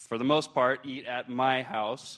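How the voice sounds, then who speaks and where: A man talks at a medium pitch with fairly even intonation. The background is quiet. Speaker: hospital chef. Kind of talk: conference presentation. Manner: loud; casual, filler-heavy.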